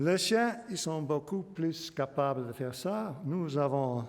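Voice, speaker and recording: A man speaks at a very slow pace in a fairly high pitch. His intonation is lively. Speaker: biology professor giving public lecture. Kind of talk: lecture. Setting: lecture hall with audience. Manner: halting, many hesitations.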